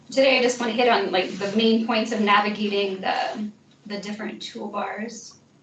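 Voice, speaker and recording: A woman talks with a fairly high voice and fairly even intonation. Behind her, background noise is noticeable. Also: moderate pace. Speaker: instructional technology trainer. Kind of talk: software training session.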